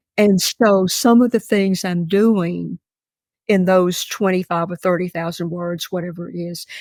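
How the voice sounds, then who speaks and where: A woman with a Mississippi accent speaks at a fairly slow pace and medium pitch with fairly even intonation, in a dry, close sound with no echo. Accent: Southern US (Mississippi). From US South. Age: 80s+. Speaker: novelist. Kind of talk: interview. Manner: halting.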